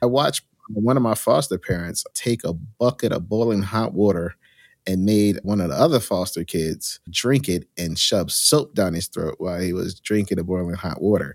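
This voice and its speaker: With an American accent, a man speaks at a moderate pace in a plain, everyday voice. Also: fairly low pitch for a man, ordinary pitch variation, very clean recording, silent background. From New Jersey, Union County. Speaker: hotel management consultant. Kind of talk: interview.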